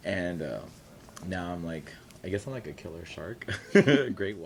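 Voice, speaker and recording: With an American accent and a very deep, low voice, a man talks at a fairly quick pace amid audible room echo. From California Central Valley, Tulare area. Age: 30s. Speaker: drag performer. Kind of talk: oral history interview. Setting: university library.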